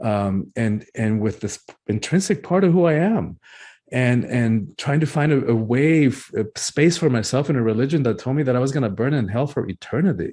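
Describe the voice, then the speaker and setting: A man with a Spanish accent speaks at a moderate pace and medium pitch, his intonation lively and his tone dark and mellow, against a quiet background. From Cuba, raised in US South (Georgia) then Miami. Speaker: author and breathwork teacher. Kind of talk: interview conversation. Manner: halting, many repetitions.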